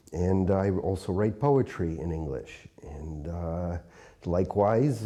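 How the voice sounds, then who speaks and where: A man with a northeastern US accent speaks in a dark, mellow tone. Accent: American English, northeastern US. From upstate New York, US. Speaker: poet and translator, university teacher. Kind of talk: interview. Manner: hesitant, many filler words.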